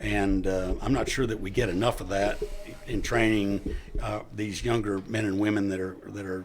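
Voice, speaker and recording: A man speaks at a moderate pace and fairly low pitch, his intonation fairly even. Noticeable background noise and audible room echo surround him. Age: 60s. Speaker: retired police officer. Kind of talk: interview.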